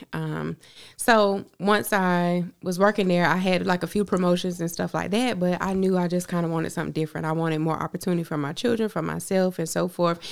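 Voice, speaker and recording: A woman with a plain, everyday voice, fairly low in pitch, speaks at a fairly quick pace with hardly any pauses and fairly even intonation on a very clean recording with a silent background. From Augusta, Georgia (US South). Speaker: makeup artist and author. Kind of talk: interview conversation.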